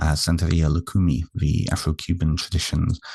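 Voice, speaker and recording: In a British accent, a man with a very deep, low voice and a dark, mellow tone is recorded with a dry, close sound and no echo. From United Kingdom. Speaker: therapist and author. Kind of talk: interview.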